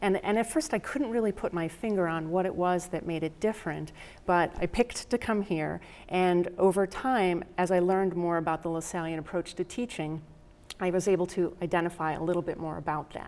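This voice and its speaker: With a Rochester accent, a woman talks at a fairly quick pace and a fairly low pitch, with ordinary pitch variation. The recording is very clean, with a silent background. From upstate New York, Rochester. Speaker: professor. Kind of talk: interview.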